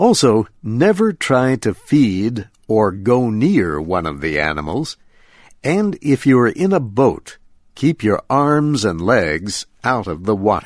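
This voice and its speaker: A man's voice at a very slow pace with very wide pitch swings, over a quiet background. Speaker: radio host. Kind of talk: scripted narration, nature documentary style. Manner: clear, slow, simple Special English delivery.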